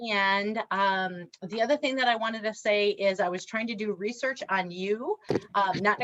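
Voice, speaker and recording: This woman has an American accent. Her pitch is medium, with ordinary variation. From Wisconsin, Reedsburg. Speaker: diversity trainer and speaker. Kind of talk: workshop presentation. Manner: animated.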